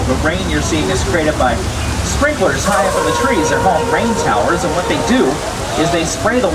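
The talking moves fairly quickly over loud background noise. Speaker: tram tour guide. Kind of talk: tour commentary. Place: street. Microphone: pa.

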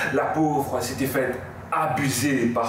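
A man speaks with audible echo from the room around him. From Mauritius. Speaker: slam poet. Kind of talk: poetry slam performance. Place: home room. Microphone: camera far.

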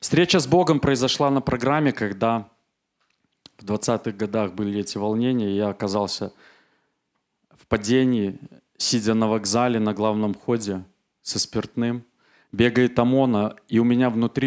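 Over a quiet background, a man speaks at a fairly slow pace with long, frequent pauses. His loudness swings widely while his pitch variation stays ordinary. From Belarus, Minsk; Belarus. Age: 40s. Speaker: church member giving testimony; speaker. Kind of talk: testimony. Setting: church service. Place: church. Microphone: handheld.

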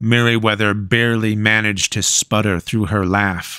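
The clip is read aloud in an unforced reading voice.

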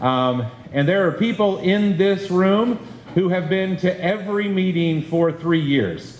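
A man at a fairly slow pace, with ordinary pitch variation, audible room echo and light background noise. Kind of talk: public meeting address. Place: classroom. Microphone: handheld.

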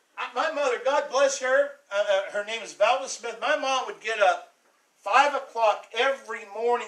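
In a raised, projected voice, a man speaks at a fairly slow pace with extremely high pitch and ordinary pitch variation against a quiet background. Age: 60s. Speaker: pastor. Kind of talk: sermon. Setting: church. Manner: animated. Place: church.

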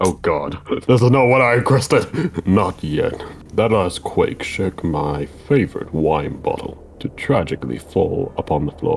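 A man in a put-on character voice at a moderate pace, with clear background noise. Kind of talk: stiff, lofty speech. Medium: game stream. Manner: formal, imperious, cold.

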